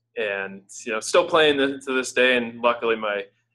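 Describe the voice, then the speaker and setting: A man speaks at a moderate pace in an unremarkable speaking voice. His intonation stays fairly even. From Boston, US. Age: 30s. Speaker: fitness website editor. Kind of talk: podcast interview. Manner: many fillers and restarts.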